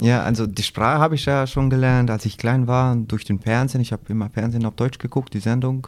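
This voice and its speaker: The speaker is a man. He talks at a moderate pace with fairly even intonation. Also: very clean recording, silent background. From Kosovo. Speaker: concrete plant foreman. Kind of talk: interview. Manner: halting.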